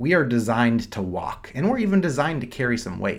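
Fairly quick, lively intonation with audible room echo. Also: man. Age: 40s. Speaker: doctor and podcast host. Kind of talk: solo podcast monologue. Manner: casual, with frequent fillers and repetitions.

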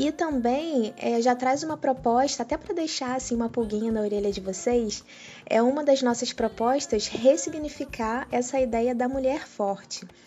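Her pitch high and its variation ordinary, a woman speaks at a moderate pace with hardly any pauses. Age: 30s. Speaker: podcast co-host. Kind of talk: casual chat.

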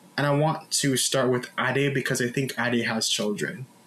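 Noticeable background noise runs under speech delivered at a moderate speed. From Jamaica. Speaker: podcast host. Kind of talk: casual panel discussion.

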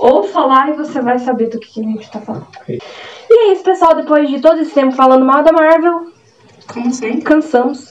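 With noticeable background noise behind her, a high-pitched woman talks at a fairly quick pace with lively intonation and big swings in loudness. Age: 20s. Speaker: podcast host. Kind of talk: casual chat.

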